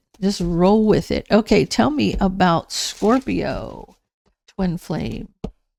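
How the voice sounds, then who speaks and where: A woman speaks at a very slow pace, the sound dry and close with no echo. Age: 60s. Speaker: tarot reader. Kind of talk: tarot reading. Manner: casual, conversational; halting, with restarts.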